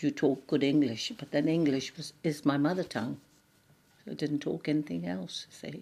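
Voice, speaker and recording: A woman speaks at a moderate pace with a very deep, low pitch and a dark, mellow tone. Her lively intonation carries vocal fry. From India, Anglo-Indian. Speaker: immigrant interviewee. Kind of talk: interview, personal recollection.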